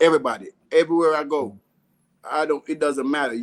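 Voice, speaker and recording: A man with a Jamaican accent, fairly quick delivery and ordinary pitch variation. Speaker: food business owner. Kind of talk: casual interview.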